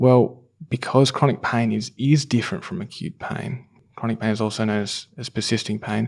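With an Australian accent, a man with a fairly low pitch talks at a fairly quick pace in a very clean recording with a silent background. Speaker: physiotherapist. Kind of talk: panel discussion. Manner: hesitant, filler-heavy.

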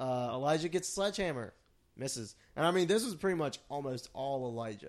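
A man talks at a fairly quick pace in a plain, everyday voice, his pitch fairly high and his intonation lively. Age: 30s. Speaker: wrestling podcast host. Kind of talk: casual chat.

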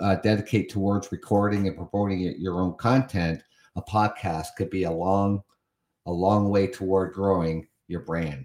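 In an unremarkable speaking voice, a man with a Canadian accent talks at a moderate pace and fairly low pitch with ordinary pitch variation. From Canada. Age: 50s. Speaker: podcast host. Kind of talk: solo podcast monologue reading and commenting on an article. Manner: casual with many fillers and repetitions.

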